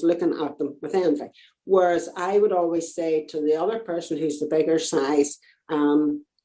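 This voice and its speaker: In an Irish accent, a woman speaks at a moderate pace with a dark, mellow tone and a fairly low pitch. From Northern Ireland. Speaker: fashion designer and knitwear business owner. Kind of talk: casual interview chat.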